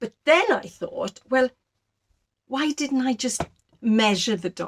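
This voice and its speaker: With a South Welsh accent and lively intonation, a woman speaks at a fairly slow pace in a dry, close sound with no echo. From Wales, Rhondda valley. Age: 60s. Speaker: sewing and knitting vlogger. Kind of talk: casual chat.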